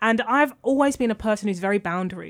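The recording is very clean, with a silent background. A woman speaks with a London accent. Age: 20s. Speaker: author and journalist. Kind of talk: interview.

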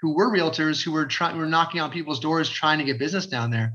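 A man's high-pitched, bright, sharp voice in an Ontario accent, with ordinary pitch variation. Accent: Canadian (Ontario). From Fort Erie, Ontario, Canada. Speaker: realtor and community developer. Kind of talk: casual interview chat.

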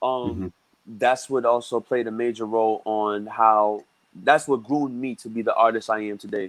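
A man with an American accent speaks in a plain, everyday voice at a medium pitch. His pace is moderate and his intonation fairly even. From Brooklyn, New York. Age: 20s. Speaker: musician. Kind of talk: casual chat. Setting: video call.

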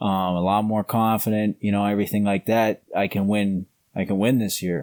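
A normal speaking voice at a moderate pace with fairly even intonation, dry and close with no echo, on a very clean recording with a silent background. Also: man. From Canada. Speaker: grappling world champion. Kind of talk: casual interview.

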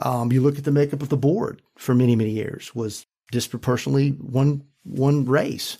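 A man's ordinary speaking voice at medium pitch and moderate pace, on a very clean recording with a silent background. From US South, rural North Carolina. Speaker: school board member and business leader. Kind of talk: panel discussion.

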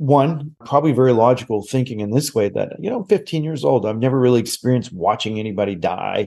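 A man with a Maritime Canadian accent speaks at a fairly quick pace. His dark, mellow tone sits at medium pitch with lively intonation. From Nova Scotia, Canada. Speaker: psychic medium and TV host. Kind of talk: casual interview chat.

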